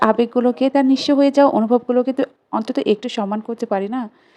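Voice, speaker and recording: Over noticeable background noise, a woman speaks in a high pitch with fairly even intonation, in a dry, close sound with no echo. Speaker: vlogger, new mother. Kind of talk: vlog voiceover narration.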